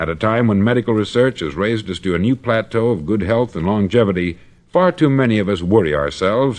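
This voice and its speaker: With an American accent, a man speaks at a fairly quick pace with lively intonation and a fairly low pitch. It is an unremarkable speaking voice against a quiet background. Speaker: motivational speaker. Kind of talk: motivational spoken-word record.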